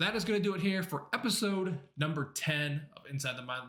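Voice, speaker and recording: A man's lively, fairly quick speech over noticeable background noise. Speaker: gaming video creator. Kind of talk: video outro.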